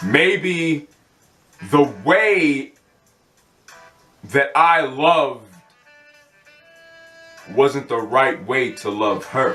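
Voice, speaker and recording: Over background music, the speaker talks at a very slow pace with a passionate tone, lively intonation and long, frequent pauses. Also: man, fairly high pitch for a man. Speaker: spoken word poet. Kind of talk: spoken word poetry performance. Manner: passionate, heartfelt.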